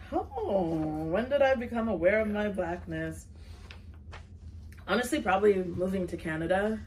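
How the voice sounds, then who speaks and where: A woman speaks with long, frequent pauses, with audible room echo and noticeable background noise. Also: medium pitch for a woman, ordinary pitch variation, moderate pace. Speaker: nonprofit executive director. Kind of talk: casual chat. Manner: loud.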